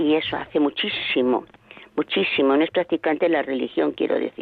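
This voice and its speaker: A woman talks with a very deep, low pitch and ordinary pitch variation. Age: 80s+. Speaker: radio listener caller. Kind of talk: phone-in call. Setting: phone call. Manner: halting.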